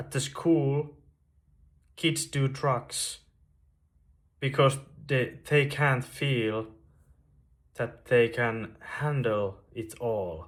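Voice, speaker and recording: A somewhat breathy man with a Finnish accent, a very slow pace, ordinary pitch variation and long, frequent pauses. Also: medium pitch for a man. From Finland, Veteli, western Finland. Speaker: YouTuber sharing spiritual story. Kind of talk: personal testimony monologue. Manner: slow, with long pauses; halting, repeats words.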